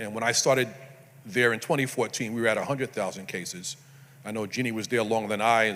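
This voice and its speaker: A man in a Brooklyn accent, bright and sharp in tone, at a very fast pace with fairly even intonation. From New York City, Brooklyn. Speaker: prosecutor's office staff presenter. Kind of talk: conference presentation. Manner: conversational, casual asides.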